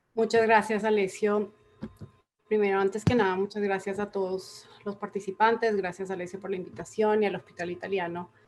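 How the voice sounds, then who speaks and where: Speaking with a medium pitch, a woman keeps her intonation monotone and flat. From Latin America, various countries. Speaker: public health consultant. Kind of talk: conference talk.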